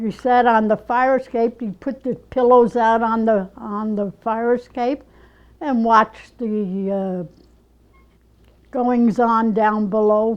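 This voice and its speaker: With a New York accent, a woman speaks at a very slow pace, fairly high in pitch and with fairly even intonation, against a quiet background. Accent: old New York. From New York City (Bronx, Lower East Side). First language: Yiddish. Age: 80s+. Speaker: ceramic artist. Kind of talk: oral history interview. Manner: halting.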